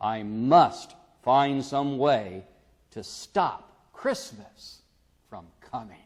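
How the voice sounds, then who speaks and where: In a growling put-on character voice of medium pitch, a man speaks at a very slow pace with lively intonation and big swings in loudness. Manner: growling, scheming.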